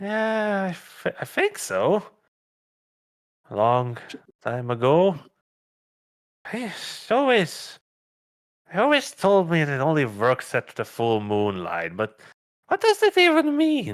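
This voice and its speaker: Using a put-on character voice, a man speaks high for a man at a fairly slow pace, with long, frequent pauses. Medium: actual play. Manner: halting, hesitant.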